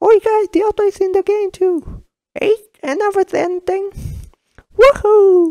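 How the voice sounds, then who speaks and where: Extremely high in pitch, the voice moves at a moderate pace broken by long, frequent pauses. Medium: fan dub. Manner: impatient, then excited and shouting.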